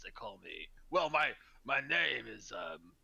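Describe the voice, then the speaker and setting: A man's put-on character voice, raspy and gruff, at a fairly slow pace. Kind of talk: rough, unrefined.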